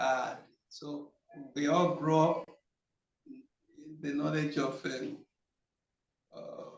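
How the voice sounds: Speech comes at a slow pace with vocal fry. Audible room echo surrounds it. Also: man.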